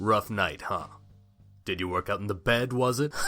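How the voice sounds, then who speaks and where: With faint music behind him, a man uses a put-on character voice at a medium pitch and moderate pace. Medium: audio drama.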